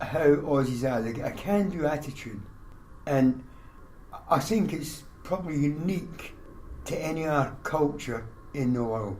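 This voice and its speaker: A man with a Scottish accent and fairly high pitch talks with lively intonation amid audible room echo. His pace is fairly slow, broken by long, frequent pauses. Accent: Scottish, still present. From Scotland. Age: 60s. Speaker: army veteran, small business owner. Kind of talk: casual chat.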